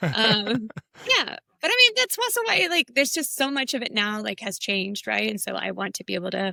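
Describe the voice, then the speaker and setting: A woman talks at a fairly quick pace. The sound is dry and close, with no echo. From United States (Mexican-American family). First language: Spanish. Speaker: graphic designer and illustrator. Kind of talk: casual chat.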